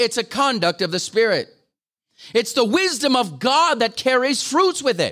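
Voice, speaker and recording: Raising and projecting his voice, a man with an extremely high pitch and a bright, sharp tone speaks at a moderate pace with lively intonation in a very clean recording with a silent background. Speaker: guest preacher. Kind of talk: sermon. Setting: church gathering with audience.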